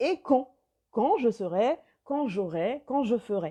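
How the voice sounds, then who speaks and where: With a dark, mellow tone, a woman speaks very slowly at a fairly high pitch, her voice making very wide pitch swings. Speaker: life coach. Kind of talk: live video chat with viewers.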